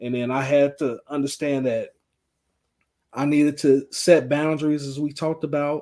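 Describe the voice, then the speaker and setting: Monotone and flat in intonation, a man's fairly high-pitched voice carries a dark, mellow tone. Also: moderate pace. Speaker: podcast co-host. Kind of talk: casual chat. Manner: halting, repeated words.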